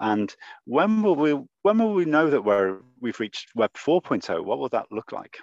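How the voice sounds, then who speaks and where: Fairly high-pitched man with a Liverpool accent, very wide pitch swings and a moderate pace. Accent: Liverpool (Scouse). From Liverpool, England. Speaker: podcast host. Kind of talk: interview.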